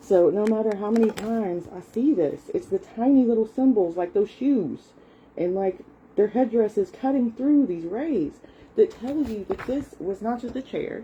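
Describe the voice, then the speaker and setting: Speaking with a Southern US accent, a woman has a fairly high pitch and lively intonation. Her tone is dark and mellow, and somewhat breathy. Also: moderate pace. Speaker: content creator. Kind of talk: casual talk. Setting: live stream. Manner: hesitant, with fillers.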